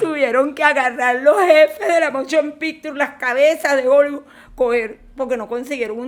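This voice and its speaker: A woman at a fairly quick pace in a Venezuelan accent, with ordinary pitch variation. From Caracas, Venezuela. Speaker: film director and screenwriter. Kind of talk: interview answer.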